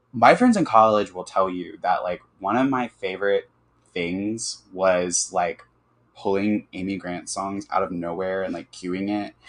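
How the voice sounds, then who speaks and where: A man with an American accent has an unremarkable speaking voice. He talks at a fairly slow pace with fairly even intonation. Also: fairly low pitch for a man. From US South, Birmingham, Alabama. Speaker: architect and interior designer. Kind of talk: casual chat.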